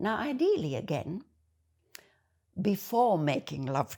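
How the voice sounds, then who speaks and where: The recording is very clean with a silent background, and the speaker has a German accent and a fairly slow pace. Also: woman. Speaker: video essayist. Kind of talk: monologue to camera.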